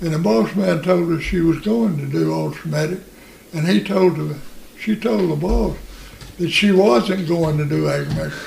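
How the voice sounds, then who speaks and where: The speaker talks at a moderate pace in a Southern US accent. Noticeable background noise is present. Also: man. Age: 80s. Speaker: elderly relative telling family stories. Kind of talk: casual interview storytelling.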